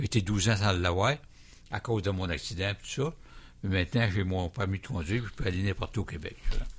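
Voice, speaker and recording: A somewhat breathy, fairly low male voice at a very fast pace, with ordinary pitch variation, long and frequent pauses, and a very clean recording over a silent background. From Quebec, Montmagny. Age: 70s. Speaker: plane crash survivor. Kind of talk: radio interview. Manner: halting, repeats words.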